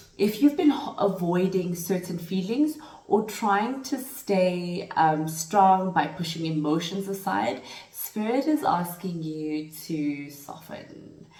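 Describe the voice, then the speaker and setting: Very wide pitch swings unfold at a very slow pace, with audible room echo and noticeable background noise. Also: woman, medium pitch for a woman. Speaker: tarot reader. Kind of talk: spiritual tarot reading. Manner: halting, with fillers.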